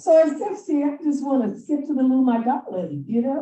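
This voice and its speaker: With a high pitch, lively intonation and a dark, mellow tone, a woman speaks. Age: 60s. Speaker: conference presenter. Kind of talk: conference talk. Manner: animated.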